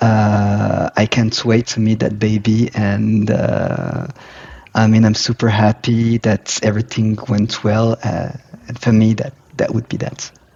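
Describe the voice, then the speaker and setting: A man with a non-native accent speaks at a fairly slow pace in monotone, flat intonation. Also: fairly low pitch for a man. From Morocco. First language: not English. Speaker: professional coach. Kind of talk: casual interview chat. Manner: hesitant, many fillers.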